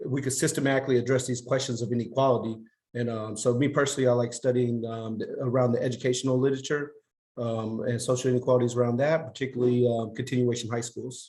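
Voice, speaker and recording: Speaking very fast, a man uses a medium pitch and a dark, mellow tone that is somewhat breathy. His intonation is monotone and flat. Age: 30s. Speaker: sociology PhD student. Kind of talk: podcast interview. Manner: halting, many fillers.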